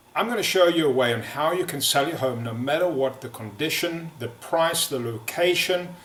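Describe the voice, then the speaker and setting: Noticeable background noise sits behind a man speaking at a moderate pace in a fairly high pitch with lively intonation. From South Africa. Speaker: real estate agent. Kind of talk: sales pitch. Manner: halting, many fillers.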